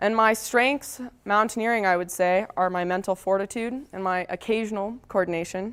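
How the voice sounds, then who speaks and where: A woman speaks at a medium pitch and a moderate pace with an American accent and fairly even intonation, in a plain, everyday voice. The recording is very clean, with a silent background. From Texas, Dallas suburbs. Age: 20s. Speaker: mountaineer. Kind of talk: presentation. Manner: casual, conversational.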